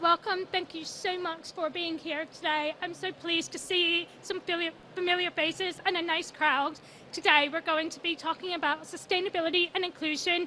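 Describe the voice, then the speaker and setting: An American-accented woman projects a raised voice at an extremely high pitch over noticeable background noise. Her intonation is monotone and flat, at a moderate pace. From USA. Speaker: sustainability consultant. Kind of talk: conference talk. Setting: stage with audience.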